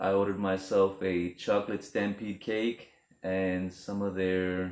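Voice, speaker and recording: A man's very deep, low-pitched voice. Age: 30s. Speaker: vlogger. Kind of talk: casual vlog monologue. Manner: casual, conversational.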